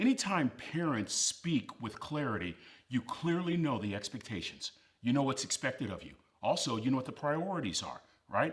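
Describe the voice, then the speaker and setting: A man with a fairly high voice and vocal fry speaks at a moderate pace, his pitch swinging very widely. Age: 60s. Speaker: motivational speaker. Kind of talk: motivational speech. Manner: emphatic.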